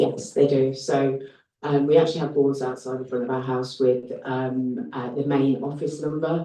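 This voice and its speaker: Over audible room echo, a man with a Birmingham accent speaks in a fairly high pitch with a dark, mellow tone and monotone, flat intonation. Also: moderate pace. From Birmingham, England. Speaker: HMO landlord applicant. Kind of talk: planning committee Q&A. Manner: hesitant, many fillers.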